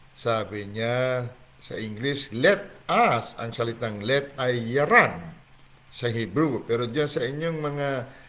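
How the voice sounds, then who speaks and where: In a room with audible echo, a man talks at a fairly slow pace and medium pitch, with ordinary pitch variation. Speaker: online Bible teacher. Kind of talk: livestream Bible teaching. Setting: livestream from home on laptop. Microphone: laptop mic, asks if volume is okay.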